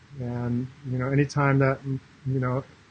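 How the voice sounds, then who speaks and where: A man speaks over noticeable background noise. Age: 60s. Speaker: life coach. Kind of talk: live stream monologue. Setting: Facebook live broadcast. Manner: halting, many fillers.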